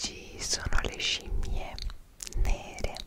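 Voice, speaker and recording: A soft-spoken woman whispers at a very slow pace. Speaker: travel vlogger. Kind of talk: casual vlog chat. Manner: soft close-mic ASMR whisper. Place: home room. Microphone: studio mic.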